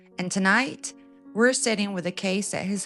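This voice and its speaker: A woman's medium-pitched voice with ordinary pitch variation, music in the background. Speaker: true crime narrator. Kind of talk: true crime storytelling narration. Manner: soft-spoken, intimate.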